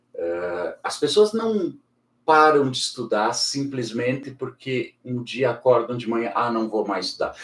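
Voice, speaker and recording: A man talking at a moderate pace. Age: 60s. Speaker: educator and school director. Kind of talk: casual interview conversation.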